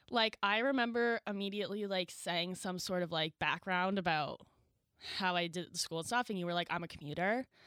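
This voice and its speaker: Bright and sharp in tone, a woman talks at a fairly quick pace and medium pitch with ordinary pitch variation, in a dry, close sound with no echo on a very clean recording with a silent background. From New Brunswick, Canada. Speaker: podcast co-host, media production student. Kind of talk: casual chat.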